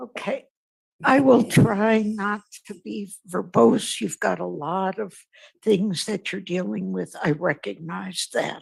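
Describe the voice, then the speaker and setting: Speaking at a very slow pace, a woman makes big swings in loudness. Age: 80s+. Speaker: public commenter, retired teacher. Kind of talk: public comment at a meeting.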